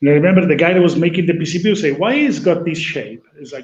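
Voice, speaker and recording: An Italian accent with ordinary pitch variation. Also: man. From Italy. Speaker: talk show host, electronics company co-founder. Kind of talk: casual chat.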